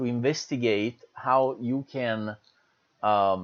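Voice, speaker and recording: With an Italian accent, a man talks at a very slow pace and a medium pitch. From Italy. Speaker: university lecturer. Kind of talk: lecture. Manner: hesitant, many fillers.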